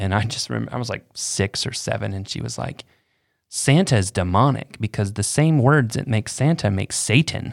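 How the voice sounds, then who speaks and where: With a plain, everyday voice and lively intonation, a man speaks at a moderate pace on a very clean recording with a silent background. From Florida. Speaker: church podcast co-host. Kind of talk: casual chat.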